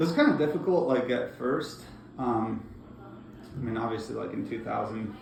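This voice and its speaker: Moderately paced male speech broken by long, frequent pauses, with audible room echo and noticeable background noise. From Bosnia, then raised in Northeast Georgia, US. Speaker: refugee interviewee. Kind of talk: interview. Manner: hesitant, many fillers.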